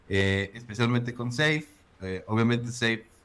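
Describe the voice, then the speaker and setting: This man speaks with a central Mexican accent. His pace is fairly slow. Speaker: agile consultant. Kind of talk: casual interview.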